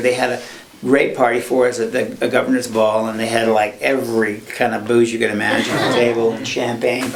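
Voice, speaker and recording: Amid noticeable background noise and audible room echo, a man talks with monotone, flat intonation. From Ireland and Scotland. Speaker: film sound mixer. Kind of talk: interview, casual chat. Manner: halting, many false starts.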